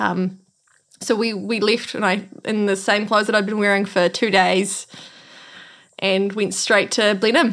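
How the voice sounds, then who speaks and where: A woman speaks with a New Zealand accent in monotone, flat intonation. She takes long, frequent pauses. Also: medium pitch for a woman, fairly slow pace. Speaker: earthquake survivor. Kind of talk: interview.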